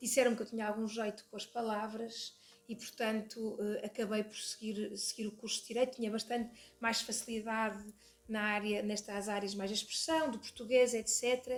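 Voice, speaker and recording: With music in the background, a woman speaks at a moderate pace in a monotone, flat intonation. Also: fairly high pitch for a woman. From northern Portugal, Porto. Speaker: lawyer and hospital administrator, association president. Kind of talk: podcast interview. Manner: hesitant, many fillers and repetitions.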